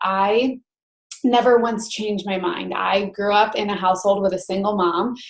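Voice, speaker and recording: A woman speaks at a medium pitch. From Rochester, New York, US. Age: 20s. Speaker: network marketing coach, former teacher. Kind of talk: online training presentation.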